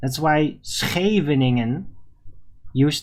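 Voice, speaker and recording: A man speaks with a Dutch accent. His pace is very slow. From Netherlands. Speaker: livestream talk show host. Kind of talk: live stream monologue responding to chat. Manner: halting, self-correcting.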